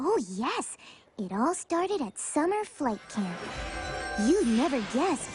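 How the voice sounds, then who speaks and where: A female-sounding, cartoonish character voice at a high pitch swings very widely in pitch, moving at a fairly slow pace with long, frequent pauses. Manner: soft, gentle.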